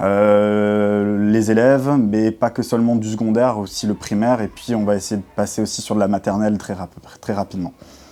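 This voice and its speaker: A man with a fairly low pitch talks at a moderate pace with hardly any pauses. His intonation is monotone and flat. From France, Alsace (Saverne). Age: 20s. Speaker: school sports development officer. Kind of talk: interview answers. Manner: hesitant, many filler sounds.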